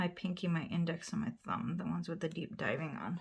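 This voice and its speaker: A quiet, fairly low woman's voice with vocal fry, a moderate pace and ordinary pitch variation. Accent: American. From US Midwest, northern Wisconsin. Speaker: nail polish YouTuber. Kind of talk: casual tutorial.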